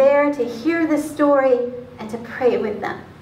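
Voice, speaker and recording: A woman with a high pitch speaks at a fairly slow pace amid audible room echo. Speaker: pastor. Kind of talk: spoken word sermon. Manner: conversational, personal anecdote. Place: church. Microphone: camera far.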